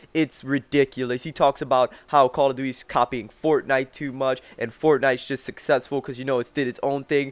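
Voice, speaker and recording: With hardly any pauses, a man talks at a fairly quick pace and medium pitch in a dry, close sound with no echo. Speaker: gaming youtuber. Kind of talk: rant reaction video. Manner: animated, heated.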